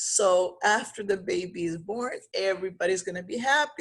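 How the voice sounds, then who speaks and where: Speaking at a very slow pace with ordinary pitch variation, a woman is heard over a quiet background. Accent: Spanish. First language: Spanish. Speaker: pregnancy coach. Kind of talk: vlog monologue. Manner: halting.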